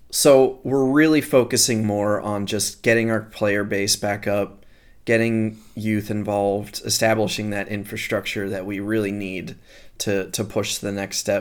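On a very clean recording with a silent background, a man with an American accent speaks fairly slowly in a fairly low pitch with fairly even intonation. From Philadelphia, US. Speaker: fistball commentator. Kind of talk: casual chat.

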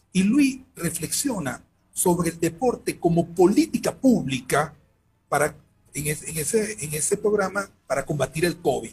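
A man's high-pitched voice, fairly slow, with lively intonation. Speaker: sports management researcher. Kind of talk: interview. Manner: halting. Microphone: headphone plug problem, sound echo.

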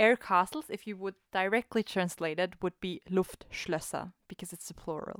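A woman talks at a moderate pace and medium pitch, with ordinary pitch variation and hardly any pauses. Her loudness swings widely in a very clean recording with a silent background and a dry, close sound with no echo. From Austria. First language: German. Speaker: podcast co-host. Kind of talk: casual chat.

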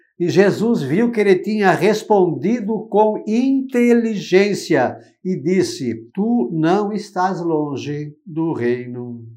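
Lively intonation marks a man's high-pitched voice with a dark, mellow tone. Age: 60s. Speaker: religious commentator. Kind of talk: gospel reflection. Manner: informal, conversational.

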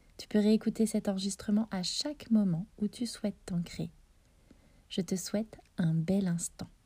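A woman's dark, mellow, somewhat breathy voice with a gentle, soothing tone, ordinary pitch variation, a fairly slow pace and long, frequent pauses. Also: medium pitch for a woman. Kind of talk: guided meditation, visualisation of roots growing into the earth. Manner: slow, soft, soothing, with long pauses; gentle, addressing listener as tu.

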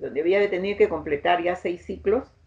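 A woman speaks in a dark, mellow, fairly low voice with vocal fry. Her pitch variation is ordinary. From Peru, Pucallpa (Amazon region). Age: 70s. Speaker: victim's mother and human rights activist. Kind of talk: testimony. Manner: halting.

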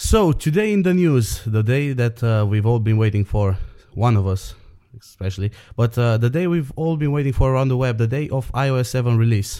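A voice with a Romanian accent and a dark, mellow tone. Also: man, medium pitch for a man, ordinary pitch variation, moderate pace. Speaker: podcast co-host. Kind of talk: casual chat. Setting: internet call.

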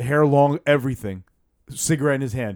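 Recorded very cleanly against a silent background, with a dry, close sound and no echo, a man speaks with a Brooklyn accent. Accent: Brooklyn New York. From Bensonhurst, Brooklyn, New York. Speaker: podcast co-host. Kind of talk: casual chat.

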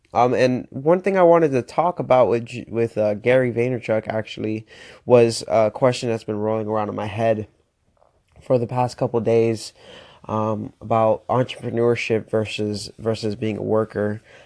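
With an American accent, a man talks at a medium pitch in a dark, mellow tone against a quiet background. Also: ordinary pitch variation, moderate pace. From Florida. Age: 20s. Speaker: motivational podcaster. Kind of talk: motivational monologue. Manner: animated.

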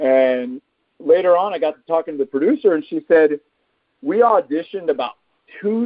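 The pitch of this man's voice moves across a very wide range. He talks fairly quickly. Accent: Texan. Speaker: actor. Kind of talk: casual interview.

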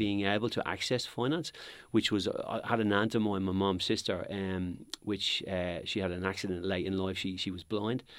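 The recording is very clean, its background silent. Words arrive at a fairly quick pace. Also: man. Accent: Dublin. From Dublin, Ireland (Crumlin, working class). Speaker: property company executive. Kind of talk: interview.

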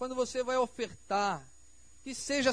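Extremely high-pitched man's voice at a fairly slow pace, with fairly even intonation. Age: 40s. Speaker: pastor. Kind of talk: sermon. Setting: church.

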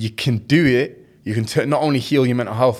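A man with a Mancunian accent, in a very clean recording with a silent background. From Manchester, England. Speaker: content creator. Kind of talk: casual chat.

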